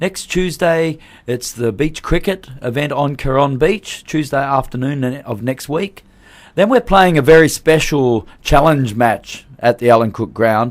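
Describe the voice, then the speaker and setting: Recorded very cleanly with a silent background, a man with an Australian accent speaks at a fairly slow pace and fairly high pitch with lively intonation. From Australia, Perth. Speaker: cricket tournament organiser. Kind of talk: radio interview. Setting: radio studio.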